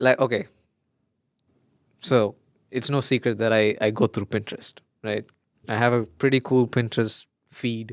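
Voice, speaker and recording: A man with a Keralan accent speaks at a moderate pace and medium pitch, in a monotone, flat intonation with long, frequent pauses. The sound is dry and close, with no echo. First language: Malayalam. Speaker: podcast co-host. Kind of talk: casual chat.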